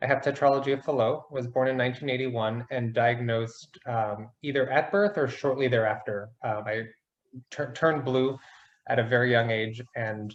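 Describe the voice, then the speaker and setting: This man speaks with an American accent at a moderate pace. His pitch sits in the middle range, with ordinary variation. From US Midwest, Chicago. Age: 40s. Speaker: patient sharing his story. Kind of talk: interview. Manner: hesitant, many fillers.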